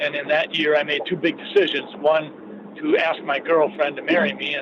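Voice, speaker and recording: At a moderate pace, a man speaks with an American accent, with noticeable background noise around him. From southern Minnesota. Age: 60s. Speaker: physician and state senator. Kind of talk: radio interview.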